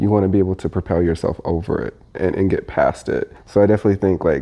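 A man with an American accent and a normal speaking voice, fairly low in pitch, fairly quick in pace, with fairly even intonation. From US Midwest, Indiana. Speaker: corporate employee at a sportswear brand. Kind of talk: casual interview.

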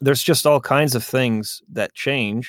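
A man's voice with ordinary pitch variation, in a dry, close sound with no echo. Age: 30s. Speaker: YouTube content creator and podcaster. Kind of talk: casual chat. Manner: halting.

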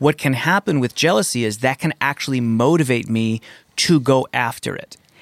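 Recorded dry and close with no echo, a man with a normal speaking voice talks at a medium pitch and a moderate pace with ordinary pitch variation. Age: 40s. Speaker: podcast co-host, therapist. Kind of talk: casual chat. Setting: studio.

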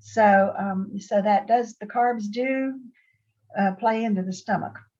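A woman with an American accent speaks at a fairly slow pace in a medium-pitched, somewhat breathy voice. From Ohio and Pittsburgh, US. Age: 80s. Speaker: guest retired nurse, intermittent faster. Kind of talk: casual interview storytelling. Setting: video call.

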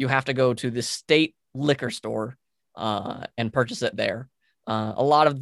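A man with a Western US accent at a medium pitch, in a very clean recording with a silent background and a dry, close sound with no echo. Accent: American (Western US). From Utah. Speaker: podcaster. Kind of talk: casual chat.

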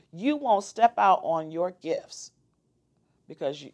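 Her tone animated and her intonation lively, a woman speaks at a medium pitch. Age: 50s. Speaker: entrepreneur and forex trader. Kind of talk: interview.

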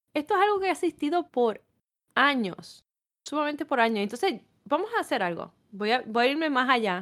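In a strong Puerto Rican accent, a woman talks at a fairly quick pace with a high pitch and very wide pitch swings on a very clean recording with a silent background. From Puerto Rico. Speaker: podcast co-host. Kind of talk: casual chat.

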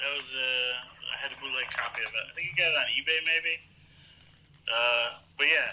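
A man's fairly high voice at a moderate pace, with fairly even intonation, long, frequent pauses, and noticeable background noise. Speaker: podcast co-host. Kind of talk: casual chat.

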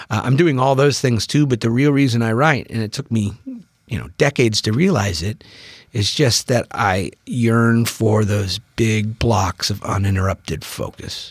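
With an American accent, a man speaks at a moderate pace in a fairly low, somewhat breathy voice with ordinary pitch variation. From US Pacific Northwest (Bainbridge Island, Washington). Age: 40s. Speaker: novelist. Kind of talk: casual chat.

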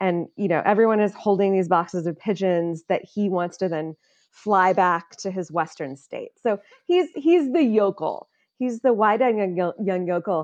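Against a quiet background, a woman speaks at medium pitch and a moderate pace. She has a Midwestern American accent and ordinary pitch variation. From US Midwest, Illinois. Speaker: political insider, film discussion guest. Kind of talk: casual chat.

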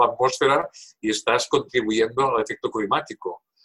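The speaker is a man going at a moderate pace. The sound is dry and close, with no echo. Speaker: professor emeritus of environmental engineering. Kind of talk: interview.

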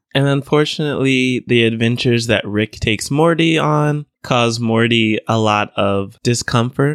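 A man with an ordinary speaking voice, medium pitch and ordinary pitch variation, at a moderate pace with hardly any pauses, very even loudness and a dry, close sound with no echo. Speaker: podcast co-host. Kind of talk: casual chat.

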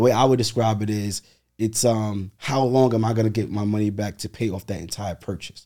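In a New York accent, this dark, mellow voice moves at a moderate pace with ordinary pitch variation. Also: man. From Brooklyn, New York. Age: 30s. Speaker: real estate investor. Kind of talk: interview.

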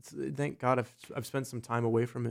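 In an American accent, a man with a normal speaking voice talks at a fairly quick pace and a medium pitch. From US, south-central Pennsylvania (Gettysburg area). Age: 20s. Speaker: actor, comedian and musician. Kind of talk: casual chat.

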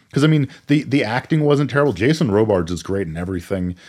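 The speaker talks at a very fast pace with very wide pitch swings, in a very clean recording with a silent background. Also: man. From Maine, US. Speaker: podcast co-host. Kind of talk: casual chat.

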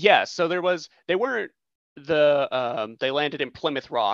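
A fairly high-pitched man's voice with vocal fry, lively intonation and an American accent, dry and close with no echo over a quiet background. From United States. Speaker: podcast guest host. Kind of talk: casual chat.

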